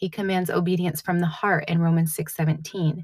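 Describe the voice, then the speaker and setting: A woman's somewhat breathy voice keeps a monotone, flat intonation. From New England. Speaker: podcast host. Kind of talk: solo podcast monologue, devotional reflection. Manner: casual, with many fillers.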